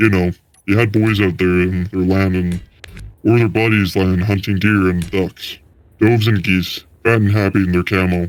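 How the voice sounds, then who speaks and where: A resonant, put-on character voice with monotone, flat intonation at a moderate pace. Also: man. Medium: read story. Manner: lilting storyteller cadence.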